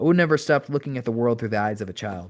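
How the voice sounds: A natural reading voice is what the clip carries.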